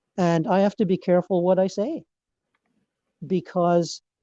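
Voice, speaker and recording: Speaking with a Scottish accent at a fairly slow pace, a man has a high pitch with ordinary variation and a dark, mellow tone in a dry, close sound with no echo. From Scotland. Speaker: meditation teacher. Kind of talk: group discussion. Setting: video call. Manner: halting.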